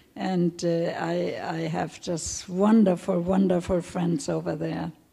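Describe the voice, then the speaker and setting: A woman's fairly low, monotone voice in a German accent, very slow and flat, over noticeable background noise. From Germany, Hamburg. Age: 80s+. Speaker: Holocaust survivor. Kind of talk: testimony Q&A. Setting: stage with audience. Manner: halting.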